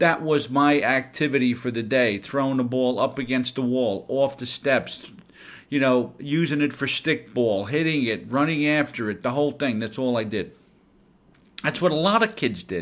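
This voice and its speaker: On a very clean recording with a silent background, a man speaks in an ordinary speaking voice at a medium pitch. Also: ordinary pitch variation, moderate pace. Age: 60s. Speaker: education consultant and podcast host. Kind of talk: podcast talk on teaching. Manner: conversational, with some stumbles.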